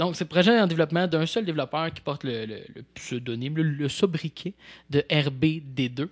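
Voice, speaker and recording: With an ordinary speaking voice, a man talks at a moderate pace in a fairly high pitch, with ordinary pitch variation and big swings in loudness, the sound dry and close with no echo against a quiet background. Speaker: podcast host. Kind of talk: casual chat. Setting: studio.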